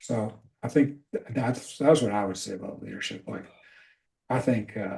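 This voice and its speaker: With an American accent, a man's dark, mellow, somewhat breathy voice shows ordinary pitch variation and big swings in loudness. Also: medium pitch for a man, moderate pace. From Scotland. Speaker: leadership coach. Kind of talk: casual chat.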